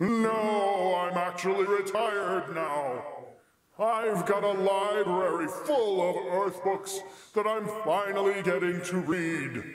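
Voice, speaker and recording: A man puts on a character voice, pitched high and delivered at a fairly slow pace. Clear echo surrounds his speech. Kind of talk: comic sketch acting. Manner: casual, chatty, flippant.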